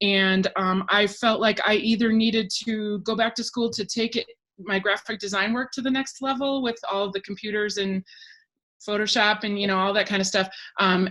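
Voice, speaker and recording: Against a silent background on a very clean recording, a woman speaks at a medium pitch and moderate pace with fairly even intonation. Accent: American. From Wisconsin, US Midwest. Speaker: talent agent. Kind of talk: interview. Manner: hesitant, many fillers.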